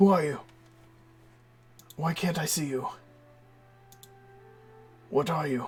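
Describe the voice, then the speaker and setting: Someone uses a raspy, put-on character voice at a middle pitch and a moderate pace, with long, frequent pauses. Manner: frightened, questioning.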